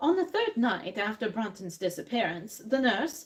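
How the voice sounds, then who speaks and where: At a moderate pace, the speaker talks in an unremarkable speaking voice. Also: woman. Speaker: dramatic reader. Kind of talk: live dramatic reading of a classic detective story. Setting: cafe, live audience.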